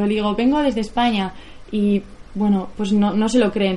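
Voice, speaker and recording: At a moderate pace, a woman speaks in a fairly high voice with fairly even intonation. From Basque Country, Spain (near Bilbao). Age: 20s. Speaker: bicycle traveller and filmmaker. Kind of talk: public talk. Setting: stage with audience. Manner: halting.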